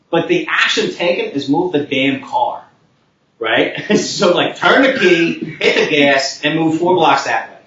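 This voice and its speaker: A man speaks at a fairly slow pace in a high pitch, his pitch swinging very widely. His loudness stays very even, and the room echo is audible. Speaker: tech conference speaker. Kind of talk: conference talk.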